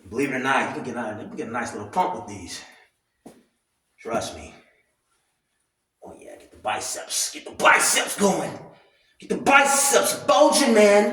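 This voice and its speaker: With audible room echo, a man speaks at a moderate pace in a high pitch, his voice making very wide pitch swings and big swings in loudness, broken by long, frequent pauses. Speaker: commentary vlogger. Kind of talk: casual rant. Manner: animated.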